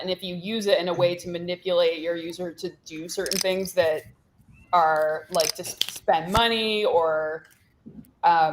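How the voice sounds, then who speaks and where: Mumbling, a woman talks with fairly even intonation and a fairly low pitch. Her loudness swings widely. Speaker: poker player. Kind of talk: casual chat. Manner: fast.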